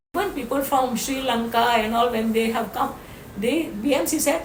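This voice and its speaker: A woman talks in an Indian accent at a moderate pace. Her voice is high-pitched. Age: 80s+. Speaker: social activist. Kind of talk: interview answer.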